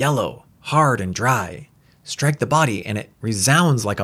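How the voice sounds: Intonation here is lively. It comes in a natural reading voice.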